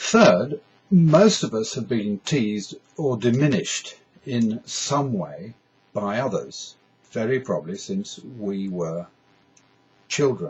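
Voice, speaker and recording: Speaking very slowly with a British accent, a man at medium pitch lets his voice swing very widely in pitch. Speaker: stammering awareness advocate. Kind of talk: scripted talk to camera. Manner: halting.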